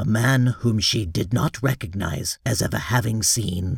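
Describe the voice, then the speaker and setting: Doing a put-on character voice, a man speaks at a moderate pace and medium pitch with ordinary pitch variation. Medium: read story. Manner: formal, deferential, deliberate.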